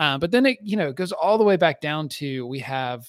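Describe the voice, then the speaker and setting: The sound is dry and close with no echo. A man with a plain, everyday voice talks at a fairly quick pace, with ordinary pitch variation. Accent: American. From US South, northeastern Alabama. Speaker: tech startup consultant, former chef. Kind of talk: casual chat.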